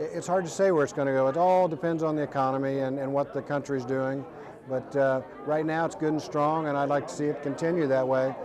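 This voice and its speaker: Amid noticeable background noise and audible room echo, a man with an American accent and a fairly high pitch talks at a very fast pace with fairly even intonation. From Ohio, Dayton. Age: 60s. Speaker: retired race car driver. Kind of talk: interview.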